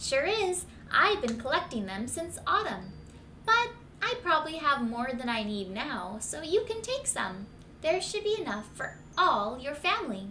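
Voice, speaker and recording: A woman's put-on character voice, high-pitched with very wide pitch swings, at a moderate pace over clear background noise. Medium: read story. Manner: lively, upbeat.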